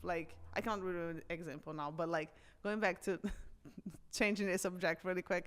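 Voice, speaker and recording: At a fairly quick pace, a woman speaks with a fairly low pitch and fairly even intonation, broken by long, frequent pauses. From Brazil. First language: Portuguese. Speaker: personal trainer. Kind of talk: casual chat.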